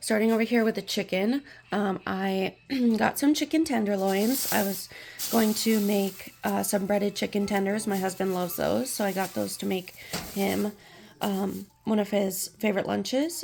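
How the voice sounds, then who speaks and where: In a put-on character voice, a woman speaks at a moderate pace with a raspy, medium-pitched sound. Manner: casual, chatty.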